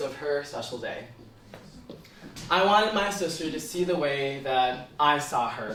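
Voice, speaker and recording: An American accent comes through amid audible room echo and noticeable background noise. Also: man. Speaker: student speaker. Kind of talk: talk.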